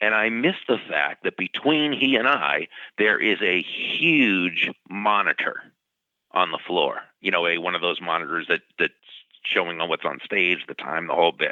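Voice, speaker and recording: With an ordinary speaking voice, a man talks at a moderate pace in a fairly low pitch with lively intonation. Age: 60s. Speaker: professional speaker and author. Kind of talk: interview storytelling. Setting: podcast interview.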